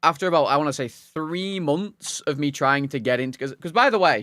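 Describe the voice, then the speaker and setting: A man's fairly high, fairly quick voice in a Lancashire accent, dry and close with no echo, on a very clean recording with a silent background. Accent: Wigan. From northern England, Wigan. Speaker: video game streamer. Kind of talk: casual chat. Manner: halting, many false starts.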